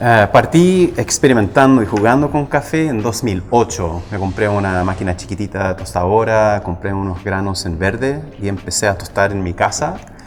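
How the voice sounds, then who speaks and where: Over noticeable background noise, a man with an American accent speaks at a moderate pace, his fairly low pitch showing ordinary variation. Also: hardly any pauses. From US, Los Angeles, California. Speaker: coffee roaster, business owner. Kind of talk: casual interview. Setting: studio.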